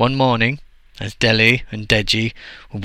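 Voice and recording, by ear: The intonation holds fairly even. The text is being read aloud in a natural voice.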